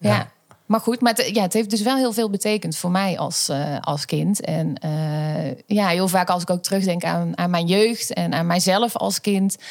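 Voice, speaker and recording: A woman speaks in a normal speaking voice at a medium pitch, with ordinary pitch variation, a fairly slow pace and hardly any pauses. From Netherlands, North Brabant (Schijndel). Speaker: pedagogy lecturer. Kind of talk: personal testimony in an interview.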